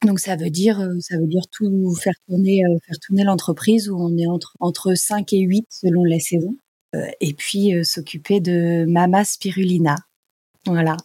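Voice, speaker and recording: Fairly low-pitched and somewhat breathy, a woman speaks at a fairly slow pace with fairly even intonation and a dark, mellow tone, the sound dry and close with no echo. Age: 40s. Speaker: spirulina farm co-manager and yoga teacher. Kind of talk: casual interview.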